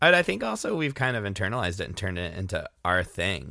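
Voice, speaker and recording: On a very clean recording with a silent background, a man with a bright, sharp tone and vocal fry speaks at a fairly quick pace with very wide pitch swings. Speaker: music podcast host and musician. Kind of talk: casual solo podcast with song introductions.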